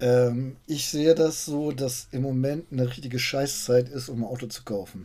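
A man speaks at a moderate pace with hardly any pauses, in a dark, mellow tone at medium pitch. His intonation is fairly even, but his loudness swings widely. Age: 50s. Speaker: car journalist podcast host. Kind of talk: casual chat.

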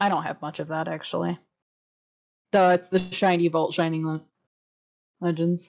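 Speaking at a moderate pace in a flat monotone, a woman with a fairly low voice leaves long, frequent pauses. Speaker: podcast co-host. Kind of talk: casual chat.

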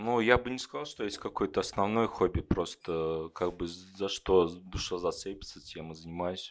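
A man with a very deep, low voice talks at a moderate pace with hardly any pauses and ordinary pitch variation. The recording is very clean, with a silent background. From Kovrov, Russia. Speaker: IT worker, audience member. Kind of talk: interview on stage. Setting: bar stage with live audience.

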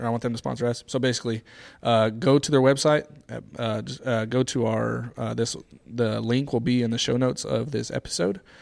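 A man with a medium pitch speaks at a fairly quick pace with ordinary pitch variation, an ordinary speaking voice. The recording is very clean, with a silent background. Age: 30s. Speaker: fitness podcast co-host. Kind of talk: casual chat. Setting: gym room studio.

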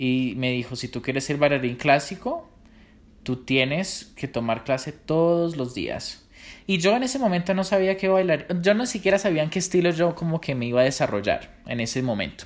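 Against a silent background in a very clean recording, a man speaks at a moderate pace with a fairly high pitch and very wide pitch swings. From Colombia. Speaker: professional dancer. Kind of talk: interview.

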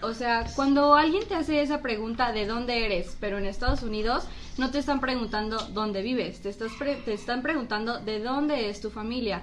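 Hardly pausing, a woman with a fairly high voice talks at a fairly quick pace with ordinary pitch variation, amid audible room echo. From Mexico (born in US, raised in Mexico from six months). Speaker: guest, friend of the hosts. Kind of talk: casual chat. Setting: studio.

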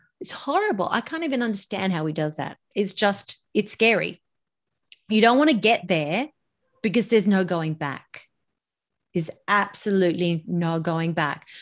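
Here a woman speaks with an Australian accent. Her intonation is lively. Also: medium pitch for a woman, moderate pace. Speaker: voice and public speaking coach. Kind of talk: interview.

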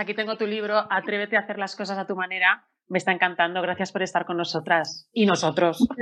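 A woman talks at a fairly quick pace, hardly pausing at all. Her medium-pitched voice is bright and sharp, with fairly even intonation. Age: 40s. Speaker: presenter and journalist. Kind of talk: panel moderation.

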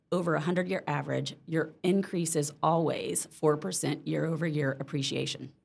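A woman with an American accent speaks at a moderate pace, her very deep, low voice marked by vocal fry. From Mississippi, US South. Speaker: real estate agent. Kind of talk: casual interview.

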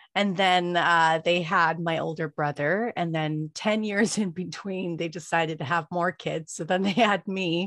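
Speaking with an American accent at a fairly slow pace, a woman with a fairly low pitch and fairly even intonation barely pauses, heard as a dry, close sound with no echo against a quiet background. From Los Angeles, California. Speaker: podcaster and author. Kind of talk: interview testimony.

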